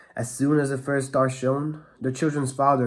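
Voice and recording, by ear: A text is being read out. The voice sounds natural.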